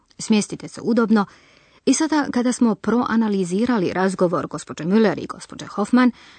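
In a dry, close sound with no echo, a woman with a plain, everyday voice speaks at a moderate pace with lively intonation. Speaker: language course presenter. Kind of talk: language lesson, explanatory narration. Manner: clear, didactic.

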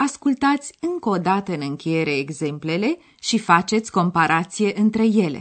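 At a moderate pace, a woman's medium pitch swings very widely. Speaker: radio language course presenter. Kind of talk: language lesson. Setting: studio.

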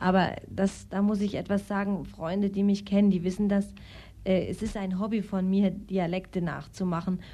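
A woman speaks at a moderate pace in a monotone, flat way with a medium pitch. Her tone is dark and mellow, and somewhat breathy. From Austria. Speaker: actress and singer. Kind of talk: interview.

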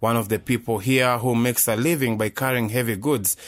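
On a very clean recording with a silent background, a man of medium pitch talks at a moderate pace in a plain, everyday voice. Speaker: news reporter. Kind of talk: field news report.

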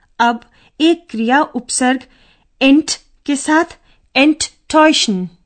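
A high-pitched woman's voice with ordinary pitch variation, long and frequent pauses, and a dry, close sound with no echo. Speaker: language course presenter. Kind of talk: scripted educational narration. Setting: studio.

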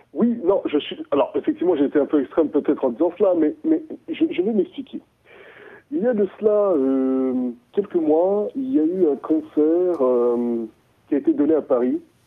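With very wide pitch swings, a man talks in a high voice. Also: moderate pace. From Central African Republic, Bria (east). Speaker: DJ, producer and musician. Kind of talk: interview. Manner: halting.

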